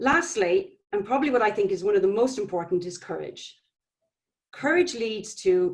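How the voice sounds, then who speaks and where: Her Irish accent rides very wide pitch swings at a moderate pace. This woman's voice sits at medium pitch. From Ireland. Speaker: public health nutrition manager. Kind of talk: conference presentation.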